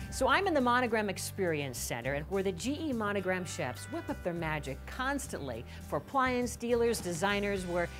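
Speaking fairly quickly, a woman talks while clear music plays behind her. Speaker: show host. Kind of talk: presenter piece to camera and casual banter. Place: shop.

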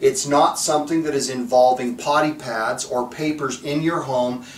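Audible room echo surrounds this speaker, a man. His intonation is fairly even. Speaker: dog trainer. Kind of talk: instructional talk to camera.

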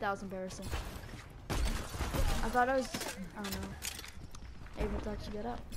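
A man at a fairly quick pace, with long, frequent pauses, over loud background noise. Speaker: gamer. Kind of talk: casual gameplay commentary. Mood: playful, self-deprecating.

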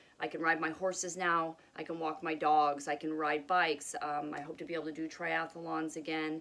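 A woman with a very deep, low voice talks in a flat monotone. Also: moderate pace. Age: 40s. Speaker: video blogger sharing health journey. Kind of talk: casual vlog monologue. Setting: home with pets. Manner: hesitant, many fillers. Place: home room. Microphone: phone near.

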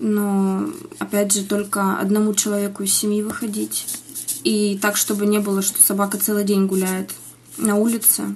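A woman speaks at a moderate pace. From Siberia, Russia (Iskitim, Novosibirsk region); Siberia. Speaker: interviewee, mother living abroad; interviewee. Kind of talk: news interview. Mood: earnest, concerned. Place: home room. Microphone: video call.

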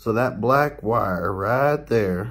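A man speaks at a very slow pace. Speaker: gamer fixing headset. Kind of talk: casual tech repair talk to camera. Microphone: phone near.

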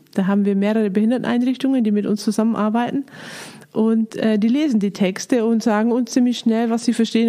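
A woman with a fairly high pitch at a fairly quick pace, amid noticeable background noise. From Lower Bavaria, Germany. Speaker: director of a Bible society. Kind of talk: casual interview conversation.

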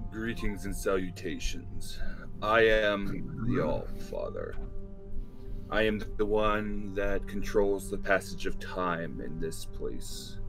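Over loud background music, a man uses a booming, put-on character voice at a fairly slow pace. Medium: actual play. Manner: kind, formal, archaic greetings.

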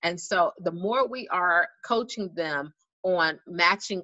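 A woman has a normal speaking voice at medium pitch with ordinary pitch variation. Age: adult parent. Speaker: school social emotional learning specialist. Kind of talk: online presentation for parents.

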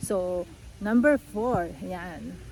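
Very slow delivery with lively intonation. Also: woman. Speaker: vlogger. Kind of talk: casual vlog tutorial. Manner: animated.

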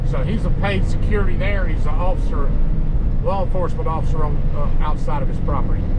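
A fairly fast-talking man amid loud background noise. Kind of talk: casual vlog chat. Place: car. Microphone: phone near.

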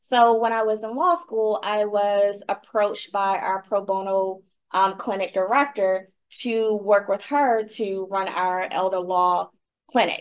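In an ordinary speaking voice, a woman talks at a fairly slow pace with medium pitch and ordinary pitch variation. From Virginia, US South. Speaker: law professor. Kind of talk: interview.

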